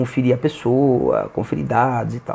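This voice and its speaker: A man speaks at a fairly slow pace in a medium pitch. His tone is dark and mellow. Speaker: youtuber. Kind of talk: explainer monologue. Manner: soft-spoken; halting.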